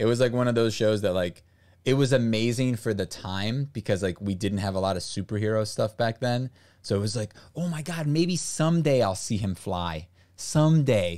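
Heard against a quiet background, a plain, everyday voice speaks at a moderate pace with an American accent. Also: man, medium pitch for a man, lively intonation. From US, raised by Brazilian parents. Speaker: streamer. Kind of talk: casual chat. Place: home room. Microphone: studio mic.

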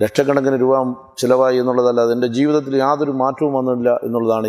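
A man with a dark, mellow tone and fairly even intonation against a quiet background. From Kerala, Kollam district (Punalur); Kerala. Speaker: evangelist. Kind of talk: testimony. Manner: formal. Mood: earnest, reflective. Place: garden. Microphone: lapel.

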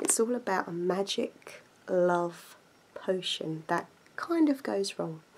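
There is light background noise. A woman speaks at a very slow pace. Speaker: book shop role-play host. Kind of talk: casual role-play book recommendation. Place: home room. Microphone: phone near.

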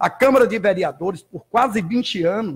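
The speaker is a man. He talks at a moderate pace. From Bahia, Brazil. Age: 60s. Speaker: judo instructor. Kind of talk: interview. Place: studio. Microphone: studio mic.

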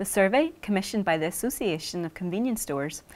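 With lively intonation, a woman talks at a very fast pace. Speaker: news presenter. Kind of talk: scripted weekly news bulletin reading. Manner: measured, even-paced and formal; neutral, crisp broadcast delivery. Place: studio.

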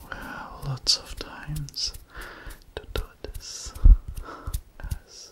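A man whispers, soft-spoken and hushed. Loud background noise surrounds his voice. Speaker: roleplay host. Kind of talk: soft-spoken relaxation roleplay. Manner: soft close ASMR whisper. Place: home room.

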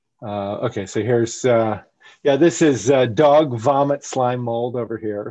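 Over a quiet background, a man with an American accent talks in a dark, mellow tone with ordinary pitch variation. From South Florida. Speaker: biology professor and wildlife photographer; biology professor. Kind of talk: virtual presentation talk. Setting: video call. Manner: halting, many fillers. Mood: friendly, enthusiastic. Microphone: headset.

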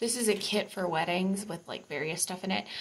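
A woman's voice over light background noise. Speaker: home vlogger. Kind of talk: casual vlog chat. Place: bathroom. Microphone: phone near.

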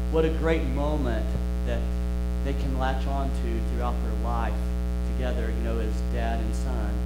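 Loud background noise fills this recording. A man speaks over it at a fairly slow pace. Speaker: preacher. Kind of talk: sermon. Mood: calm storytelling. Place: church.

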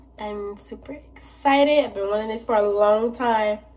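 A woman speaks with a fairly high voice and ordinary pitch variation. Noticeable background noise and audible room echo surround her. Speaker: vlogger. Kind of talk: casual vlog. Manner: animated.

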